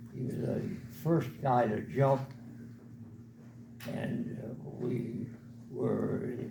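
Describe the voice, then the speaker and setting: Audible room echo surrounds a man whose medium pitch shows ordinary variation as he talks at a very slow pace. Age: 80s+. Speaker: war veteran. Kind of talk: storytelling. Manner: halting.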